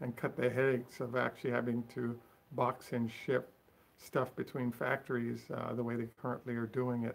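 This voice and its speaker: A man mumbling at a fairly quick pace, medium in pitch, with monotone, flat intonation. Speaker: Tesla commentary channel host. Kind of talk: solo video commentary. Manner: fast.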